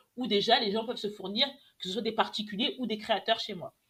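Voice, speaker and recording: Her delivery moves at a fairly quick pace. The woman's pitch is fairly high. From France, Lyon. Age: 20s. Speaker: entrepreneur, clothing brand founder. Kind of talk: podcast interview. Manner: hesitant, many fillers.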